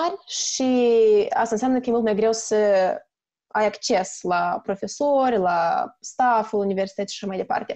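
A woman's dark, mellow voice at a fairly high pitch, with lively intonation, a moderate pace and a quiet background. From Moldova, Chișinău. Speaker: chemistry student. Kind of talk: casual interview. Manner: halting, many fillers.

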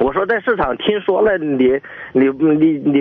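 Against noticeable background noise, a man speaks at a fairly slow pace with very wide pitch swings. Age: 40s. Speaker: caller. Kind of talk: phone-in call. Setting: phone call. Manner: halting.

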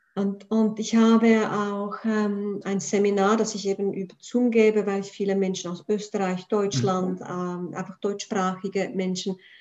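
With a Swiss accent, a woman reads at a fairly slow pace in a medium, monotone voice with flat intonation and hardly any pauses. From Prague, then Switzerland from age nine. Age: 40s. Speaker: spiritual coach. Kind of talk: casual interview.

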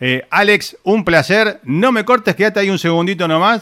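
A man talks with a Rioplatense accent. His tone is bright and sharp. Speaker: radio and web show host. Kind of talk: casual interview. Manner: hesitant, many fillers.

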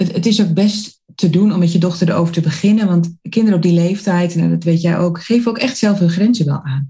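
The voice has a dark, mellow tone, somewhat breathy, with fairly even intonation. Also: woman. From Netherlands, Zwolle (Overijssel). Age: 40s. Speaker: entrepreneur and college coach. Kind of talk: casual interview.

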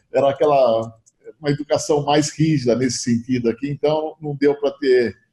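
A man's voice sits at a fairly high pitch, somewhat breathy, with a dark, mellow tone. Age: 60s. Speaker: insurance broker, company founder. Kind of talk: interview. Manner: halting, repeats words.

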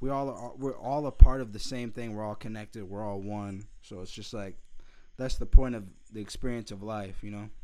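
This man talks at a fairly quick pace in a fairly low, dark, mellow voice, his loudness swinging widely. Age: 20s. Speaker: podcast host. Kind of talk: casual chat. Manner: animated.

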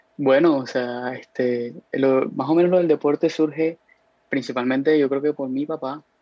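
With an unremarkable speaking voice, a man talks at a fairly high pitch with fairly even intonation. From Colombia, Cartagena. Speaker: college soccer player. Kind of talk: casual interview.

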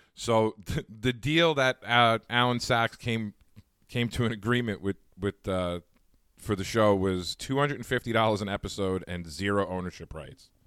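This man has an unremarkable speaking voice with an American accent, talking at a moderate pace with ordinary pitch variation in a dry, close sound with no echo. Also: fairly low pitch for a man. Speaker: podcast host. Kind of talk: casual chat.

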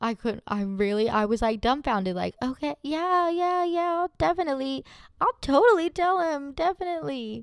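In a dry, close recording with no echo, a woman sounds animated, her pitch swinging very widely. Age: 30s. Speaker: solo podcast host. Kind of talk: casual chat. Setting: home desk recording.

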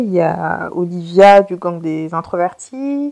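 A woman with a medium pitch. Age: 30s. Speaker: podcast host and therapist. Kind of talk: casual solo monologue. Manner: spontaneous, hesitant with fillers.

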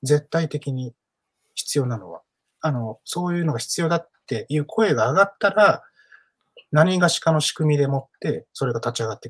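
A man speaks with a somewhat breathy voice and big swings in loudness, recorded with a dry, close sound and no echo. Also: lively intonation, moderate pace. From Osaka, partly raised in Hong Kong. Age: 40s. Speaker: playwright and theatre director. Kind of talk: casual interview talk.

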